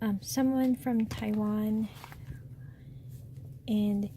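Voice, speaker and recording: There is noticeable background noise behind the speaker. She is a woman talking at a very slow pace. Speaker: stationery reviewer. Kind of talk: product unboxing review. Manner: soft-spoken.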